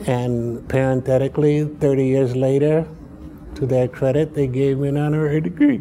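Over noticeable background noise, a man with an American accent talks at a moderate pace, his medium pitch held in fairly even intonation. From Chicago, US Midwest. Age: 80s. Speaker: professor emeritus, political scientist. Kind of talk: interview about his life and career. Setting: interview at a university. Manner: reflective, halting, with hesitations.

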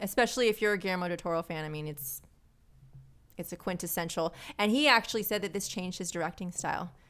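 A woman at a medium pitch with ordinary pitch variation and a very fast pace, in a very clean recording with a silent background. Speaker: podcaster and pinup model. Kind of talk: casual chat.

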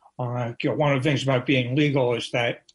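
A somewhat breathy male voice at medium pitch, with fairly even intonation. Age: 60s. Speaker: drug policy journalist. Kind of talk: radio interview. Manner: hesitant, many fillers.

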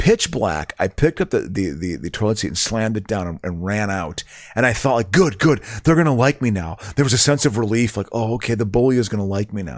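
On a very clean recording with a silent background, a man with an American accent talks at a very fast pace and a fairly low pitch. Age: 50s. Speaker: comedian. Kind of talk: casual chat.

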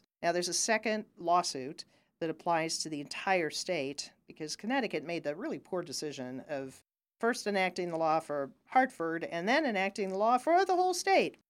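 Recorded very cleanly against a silent background, an ordinary speaking voice with an American accent keeps a moderate pace. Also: woman, fairly low pitch for a woman. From Ohio. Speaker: lawyer. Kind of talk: casual interview.

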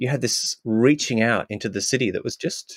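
In an Australian accent, a man speaks very fast at medium pitch, and the sound is dry and close with no echo. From Australia, Queensland. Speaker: sound artist. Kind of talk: interview. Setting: remote call.

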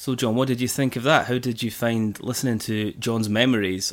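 An ordinary speaking voice: a man at medium pitch, fairly quick pace and fairly even intonation, on a very clean recording with a silent background. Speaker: podcast host and interviewer. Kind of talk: podcast hosting and interview. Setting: at guest's home.

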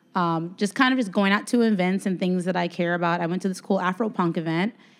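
In an ordinary speaking voice, a woman talks at medium pitch with fairly even intonation. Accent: American. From Chicago. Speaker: music marketing manager. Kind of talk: live podcast interview. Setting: hotel event with live audience.

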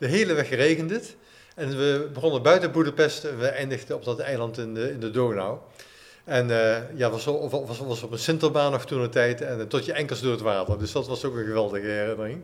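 Over noticeable background noise, a man speaks fairly quickly in a medium pitch with ordinary pitch variation. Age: 60s. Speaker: running coach and author. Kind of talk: casual chat. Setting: clubhouse.

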